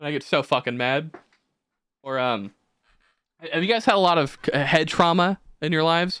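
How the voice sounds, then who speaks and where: With a bright, sharp tone and lively intonation, a man mumbles at a moderate pace, leaving long, frequent pauses. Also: fairly high pitch for a man. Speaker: podcast host and video editor. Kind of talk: casual chat. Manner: mumbling.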